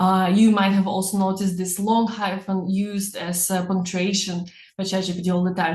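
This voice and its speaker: A woman speaks at a moderate pace in a somewhat breathy, medium-pitched voice with a non-native accent and flat, monotone intonation. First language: not English. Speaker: personal branding coach. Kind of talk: webinar.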